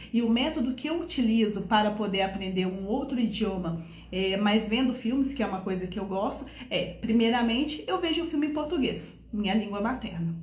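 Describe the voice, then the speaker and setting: With noticeable background noise and audible room echo, a woman talks at a fairly quick pace. Her fairly high voice has an animated tone and lively intonation. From Brazil, Minas Gerais. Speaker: French teacher. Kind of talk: online lesson / tutorial.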